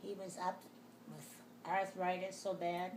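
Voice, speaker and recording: A woman with an American accent speaks at a fairly slow pace. Noticeable background noise and audible room echo fill the recording. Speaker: elderly mother interviewed. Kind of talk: casual family interview. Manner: halting.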